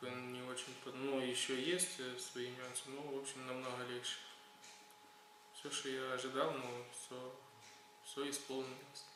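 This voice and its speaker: Monotone, flat intonation from a man at medium pitch and a fairly slow pace, with long, frequent pauses, audible room echo and noticeable background noise. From Ukraine. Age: 20s. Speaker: patient. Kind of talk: testimony. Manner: halting, many fillers.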